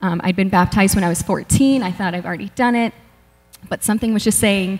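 Fairly even intonation in a somewhat breathy female voice. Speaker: church member sharing testimony. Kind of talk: testimony. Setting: stage with audience. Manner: halting. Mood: earnest, a bit nervous. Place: church. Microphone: handheld.

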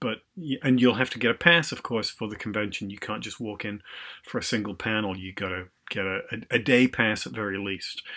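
Against a quiet background, a man speaks in a bright, sharp tone at a fairly low pitch, with ordinary pitch variation and big swings in loudness. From England, industrial working-class town. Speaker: novelist and Shakespeare professor; Shakespeare professor. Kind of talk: casual vlog update. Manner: hesitant, many fillers. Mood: relaxed, enthusiastic. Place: home room. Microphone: webcam.

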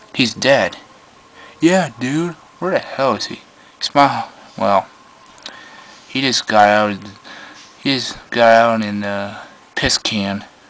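A man speaks at a very slow pace with lively intonation. He leaves long, frequent pauses. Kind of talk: improvised comedy skit with character voices. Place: home room. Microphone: phone near.

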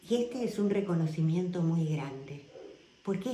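Lively intonation runs through speech at a moderate pace. There is audible room echo. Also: woman. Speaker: wellness guide. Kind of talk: casual talk to camera. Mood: warm, grateful, earnest. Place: home room. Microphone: phone near.

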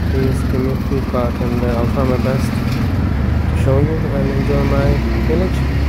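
Amid loud background noise, the speaker goes at a fairly slow pace. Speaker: vlogger. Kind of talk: casual vlog chat. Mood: friendly, a bit unsure. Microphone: phone near.

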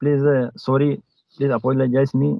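Someone with an Indian accent speaks at a moderate pace, the sound dry with no echo over a quiet background. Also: man. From Madhya Pradesh, India. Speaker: police officer learning English. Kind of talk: English practice conversation. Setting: video call. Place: car. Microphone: video call.

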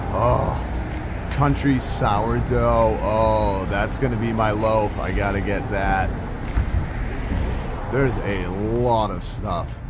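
A man at a very slow pace over loud background noise. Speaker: vlogger. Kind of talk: casual vlog chat. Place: street. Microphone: phone near.

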